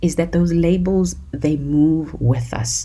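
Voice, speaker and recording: With a South African accent, a woman with a fairly low pitch speaks in an animated tone and lively intonation over noticeable background noise. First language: isiZulu. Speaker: podcast host. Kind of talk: solo podcast talk.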